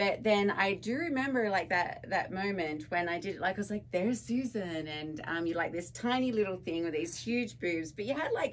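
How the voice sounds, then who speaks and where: In an Australian accent, a woman speaks at a moderate pace and medium pitch, with lively intonation and hardly any pauses. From Tasmania, Australia. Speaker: podcast co-host. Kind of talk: casual chat.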